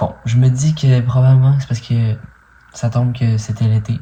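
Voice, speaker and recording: Slowish and somewhat breathy, a man speaks at a medium pitch with a dark, mellow tone and fairly even intonation. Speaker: vlogger. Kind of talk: video diary update. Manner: casual, hesitant with many fillers.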